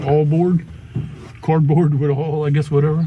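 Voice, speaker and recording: Here a man speaks in a Louisiana accent at a very fast pace. His pitch is fairly high. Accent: Louisiana Southern. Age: 70s. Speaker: classic car owner and Vietnam veteran. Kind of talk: casual chat.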